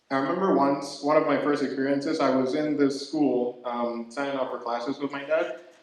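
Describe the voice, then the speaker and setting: Amid audible room echo, a man talks at a moderate pace and fairly high pitch with fairly even intonation. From Ghana. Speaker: comedian. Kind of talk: stand-up. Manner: halting.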